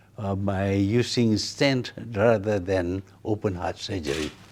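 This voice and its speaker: Slowly, at a very slow pace, a man with a Malaysian accent speaks with ordinary pitch variation. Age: 80s+. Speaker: former prime minister. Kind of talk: interview answer. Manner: slow, hesitant.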